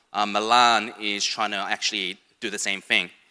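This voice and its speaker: There's a bright, sharp tone to this man's monotone, flat delivery, with a slight Australian accent. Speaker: sports foundation education head. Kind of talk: conference presentation. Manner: casual, hesitant with fillers.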